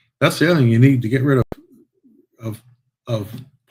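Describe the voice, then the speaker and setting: Pitched in the middle range, a man talks in a somewhat breathy voice. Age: 60s. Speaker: podcast host. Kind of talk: casual chat. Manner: animated.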